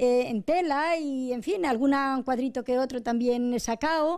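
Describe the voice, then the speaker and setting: A woman with a high pitch and a dark, mellow tone speaks at a fairly slow pace over a quiet background. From Arenas de San Juan, Ciudad Real, Spain; Ciudad Real, Spain. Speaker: wife of the interviewee, amateur painter; interviewee. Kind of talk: interview. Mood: cheerful, warm. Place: home room. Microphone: handheld.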